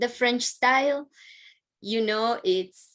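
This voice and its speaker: A woman speaks at a very slow pace with a Colombian accent. Her pitch is fairly high. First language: Spanish. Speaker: university international advisor. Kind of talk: presentation.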